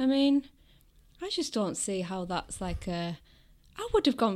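A woman with a Teesside accent talks at a moderate pace with lively intonation, in a very clean recording against a silent background. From northern England, Middlesbrough. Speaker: film fan guest. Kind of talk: casual chat.

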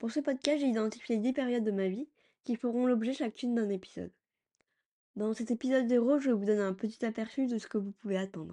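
Fairly quick, fairly high-pitched talk from a woman, an unremarkable speaking voice with ordinary pitch variation. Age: 30s. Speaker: podcast host, cancer survivor. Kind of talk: scripted narration.

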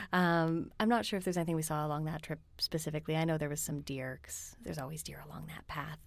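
A woman with a Canadian accent at a very fast pace, very deep and low in pitch, with hardly any pauses and big swings in loudness. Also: ordinary pitch variation, very clean recording, silent background. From Northwestern Ontario, Canada. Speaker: guest. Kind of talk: casual conversation. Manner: chatty, humorous.

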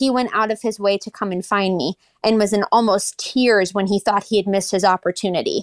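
On a very clean recording with a silent background and a dry, close sound with no echo, a woman with an American accent uses an ordinary speaking voice at a medium pitch, a fairly quick pace and fairly even intonation. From US Pacific Northwest (Kirkland, Washington). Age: 20s. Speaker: pilot and aviation content creator. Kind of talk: interview.

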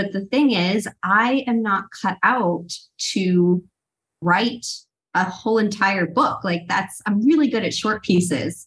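Somewhat breathy woman's voice, medium pitch, very slow pace, ordinary pitch variation. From US East Coast suburbs. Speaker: life coach and co-author. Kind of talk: casual interview chat.

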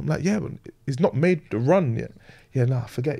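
Somewhat breathy, a man with a fairly high pitch talks at a fairly quick pace. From northern England, Leeds. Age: 20s. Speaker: former professional footballer. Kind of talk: casual interview.

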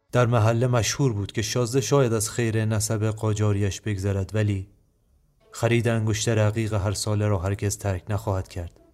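At a moderate pace, a man speaks in a monotone, flat delivery at a fairly low pitch. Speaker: podcast host. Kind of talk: scripted narration.

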